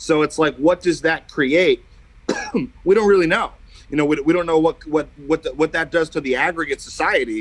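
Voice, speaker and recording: Delivered in a plain, everyday voice with an American accent, the speech runs at a fairly quick pace with fairly even intonation and a dry, close sound with no echo. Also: man, fairly high pitch for a man. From New Jersey, Bergen County. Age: 30s. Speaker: musician. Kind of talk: casual chat.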